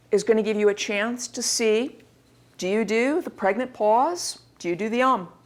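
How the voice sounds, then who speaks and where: At a moderate pace, a woman speaks with ordinary pitch variation. Her pitch is fairly high. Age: 40s. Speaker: university instructor. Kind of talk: lecture.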